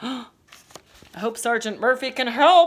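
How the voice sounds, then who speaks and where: In a high-pitched, put-on character voice, a woman delivers her lines at a fairly slow pace. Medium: read story.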